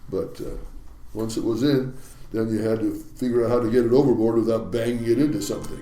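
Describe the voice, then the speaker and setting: A man with an American accent talks very fast at a medium pitch, his tone dark and mellow. His intonation is monotone and flat, and audible room echo is present. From US Pacific Northwest, Seattle. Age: 80s+. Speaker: retired commercial fishing captain. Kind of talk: interview storytelling. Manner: halting.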